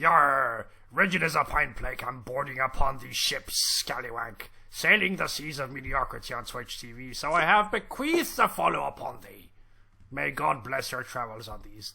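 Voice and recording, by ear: Using a raspy, put-on character voice, a man talks at a moderate pace and a medium pitch.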